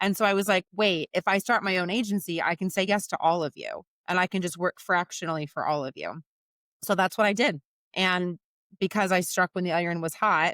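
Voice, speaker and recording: This woman's voice sits at a medium pitch and runs at a fairly quick pace. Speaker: recruiter and business founder. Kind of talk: podcast interview. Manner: loud; animated.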